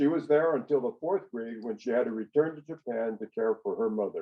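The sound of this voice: With a slightly husky edge, a man with an American accent talks at a fairly quick pace using lively intonation. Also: medium pitch for a man.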